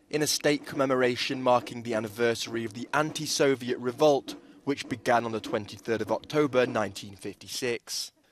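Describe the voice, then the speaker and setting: In a plain, everyday voice, a man of medium pitch speaks at a moderate pace with hardly any pauses and fairly even intonation. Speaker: news anchor. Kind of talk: news reading.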